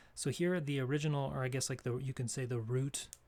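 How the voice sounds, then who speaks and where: In a very clean recording with a silent background, a man speaks at medium pitch, somewhat breathy, with fairly even intonation. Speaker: English grammar teacher. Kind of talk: tutorial. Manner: halting.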